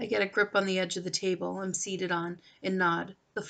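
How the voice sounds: Reading in a natural voice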